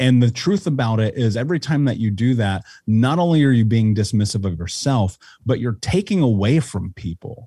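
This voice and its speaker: A somewhat breathy, dark and mellow voice with lively intonation and an American accent, on a very clean recording with a silent background. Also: man, medium pitch for a man, moderate pace. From Indianapolis, US Midwest. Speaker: life coach and author. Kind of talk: interview conversation. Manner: articulate.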